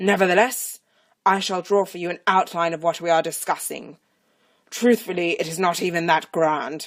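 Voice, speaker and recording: A woman puts on a character voice in a fairly low pitch. She keeps a moderate pace with ordinary pitch variation. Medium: read story. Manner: pompous, condescending.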